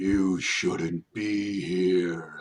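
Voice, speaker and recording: In a put-on character voice, a man pitches his speech very deep and low. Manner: flat, monotone; calm, unthreatening yet ominous.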